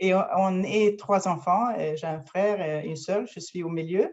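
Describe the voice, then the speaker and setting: At a very slow pace, a woman speaks at fairly low pitch with ordinary pitch variation. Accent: Swedish. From Sweden, near Gothenburg. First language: Swedish (speaking French). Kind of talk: interview conversation. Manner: halting, many fillers.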